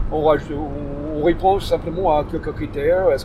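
A man with an English accent at a moderate pace, with noticeable background noise. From US, Detroit. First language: English (speaking French). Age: 50s. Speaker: volunteer host for refugees. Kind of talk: interview. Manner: halting, with frequent restarts.

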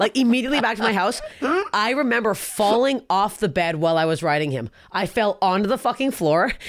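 A woman at fairly high pitch and a fairly quick pace, amid noticeable background noise. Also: lively intonation. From Canada. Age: 30s. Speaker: comedian. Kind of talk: casual chat.

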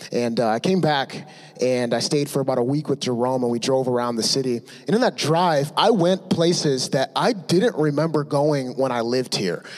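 A man's normal speaking voice with an American accent, fairly high in pitch with ordinary variation, at a moderate pace and very even loudness. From Michigan, Ann Arbor. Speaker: church member. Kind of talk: testimony.

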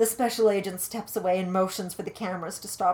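Intonation holds fairly even throughout. The text is read aloud in a natural voice.

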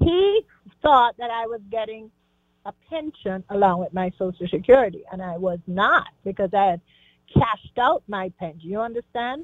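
A woman at a fairly high pitch speaks at a moderate pace, with lively intonation and big swings in loudness. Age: 60s. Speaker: caller, retired teacher. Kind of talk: phone-in question. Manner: halting.

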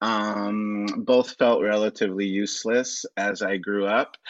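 A man with an American accent, fairly low pitch, monotone, flat intonation and a very slow pace. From Los Angeles. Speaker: writer and performer. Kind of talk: casual chat.

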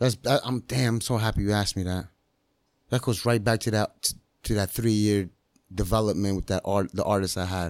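In a very clean recording with a silent background, a man with a fairly low pitch and a normal speaking voice talks at a fairly quick pace. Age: 30s. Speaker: master barber and entrepreneur. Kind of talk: casual chat. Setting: in-person studio.

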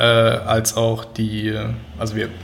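Noticeable background noise and audible room echo surround the recording. A man speaks at a medium pitch with monotone, flat intonation. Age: 30s. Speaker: freelance digital product designer. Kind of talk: casual interview. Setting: his own office studio.

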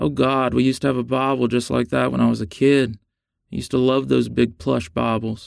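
Text is read aloud in a natural voice. Nothing much stirs in the quiet background.

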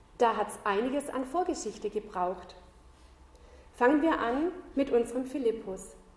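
A woman speaks at a high pitch with lively intonation. Her pace is moderate, broken by long, frequent pauses. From southern Germany. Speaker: Bible school teacher, lay preacher. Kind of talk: sermon.

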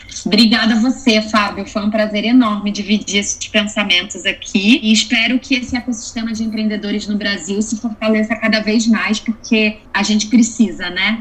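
The speaker has a Rio de Janeiro accent and a monotone, flat intonation, talking at a moderate pace with hardly any pauses. Noticeable background noise is present. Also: woman, fairly high pitch for a woman. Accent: carioca (Rio). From Rio de Janeiro, Brazil. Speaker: angel investor. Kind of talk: interview.

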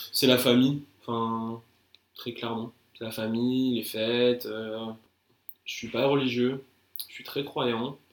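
Leaving long, frequent pauses, a man with a medium-pitched voice speaks at a very slow pace in a monotone, flat intonation with big swings in loudness. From France, Paris region (Val-de-Marne). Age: 20s. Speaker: digital marketer. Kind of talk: casual interview.

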